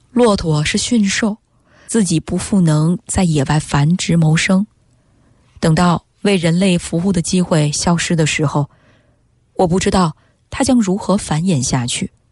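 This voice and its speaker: A woman speaks at a fairly low pitch with a somewhat breathy sound. Her loudness stays very even. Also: ordinary pitch variation. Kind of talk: literary reading aloud of a Chinese essay, expressive narration. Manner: slow, sombre, emotive and mournful, lingering over the imagery of the suffering camels.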